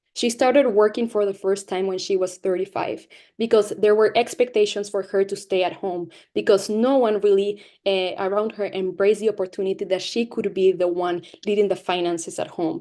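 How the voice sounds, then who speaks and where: A woman speaks with a Latin American accent at a medium pitch and fairly quick pace. Her tone is dark and mellow, her intonation fairly even. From Latin America (Mexico, Peru, Spain). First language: Spanish. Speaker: guest speaker, activist. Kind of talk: presentation to school classes. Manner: halting, with false starts.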